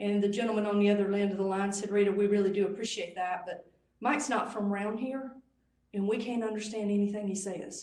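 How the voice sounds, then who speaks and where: A woman talks very fast with a Southern US accent. Her pitch is medium. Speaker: conference speaker. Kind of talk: presentation. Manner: drops the g in -ing.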